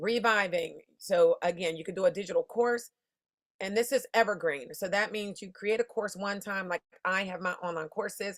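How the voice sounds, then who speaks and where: A woman speaks in an animated tone, her loudness swinging widely. The background is quiet. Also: ordinary pitch variation. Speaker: insurance business coach. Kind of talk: online masterclass. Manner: fast; casual, animated. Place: home room. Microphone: webcam.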